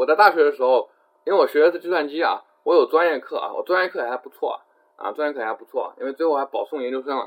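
A man talks at a fairly quick pace. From China, Jiangxi. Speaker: IT professional and English-learning blogger. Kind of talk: online talk / webinar lecture with Q&A. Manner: fast; frequent fillers and repetition.

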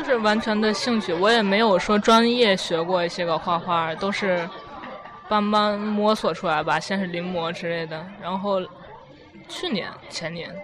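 Crowd noise and audible room echo surround a woman speaking at a medium pitch. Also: ordinary pitch variation, moderate pace. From China, Tianjin. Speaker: university student. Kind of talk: casual interview. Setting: restaurant.

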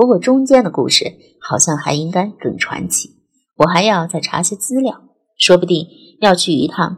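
Against a quiet background, the speaker reads aloud in a natural voice with lively intonation.

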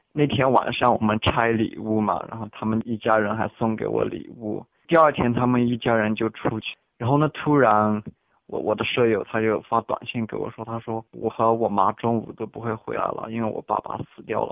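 A man's plain, everyday voice at medium pitch, moderate pace, fairly even intonation. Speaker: international student. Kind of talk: interview. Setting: phone call.

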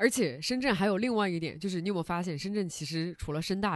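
Against a quiet background, an animated tone races along at a very fast pace. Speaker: podcast host. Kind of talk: casual interview chat. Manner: animated, laughs often.

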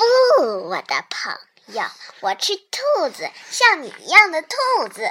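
Delivered at a fairly slow pace, the put-on character voice is raspy and extremely high in pitch.

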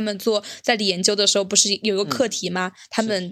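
The recording is very clean with a silent background, as a woman talks at a fairly quick pace. Her medium-pitched voice has a bright, sharp tone and fairly even intonation. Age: young. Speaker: podcast co-host. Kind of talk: casual chat.

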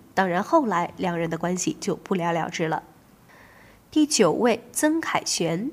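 Her voice sits in a medium range. Its pitch rises and falls very widely. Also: fairly slow pace. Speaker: radio host. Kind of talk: scripted narration.

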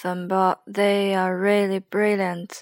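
A woman's nervous voice with a Chinese accent, monotone and flat, at a fairly slow pace in a dry, close sound with no echo. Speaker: podcaster. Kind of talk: casual late-night solo chat. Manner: halting, nervous, rambling.

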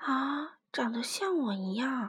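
Using a put-on character voice, a woman speaks slowly at a high pitch, with a husky, rough edge and lively intonation.

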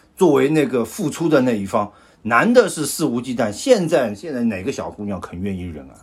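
At a fairly quick pace, a man speaks with very wide pitch swings and big swings in loudness. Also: medium pitch for a man. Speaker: podcast host. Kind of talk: casual chat.

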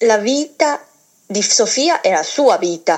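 A woman speaks in a Chinese accent. Her pitch varies in an ordinary way. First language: Chinese (speaking Italian). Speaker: former table tennis champion, program manager. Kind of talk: phone interview. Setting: phone call. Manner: halting.

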